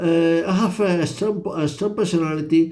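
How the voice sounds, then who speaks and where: The speech comes at a fairly slow pace with monotone, flat intonation over noticeable background noise. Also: man. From Spain. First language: Spanish. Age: 50s. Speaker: vlogger. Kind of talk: personal monologue vlog. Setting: hotel room at midnight. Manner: halting, many repetitions and fillers.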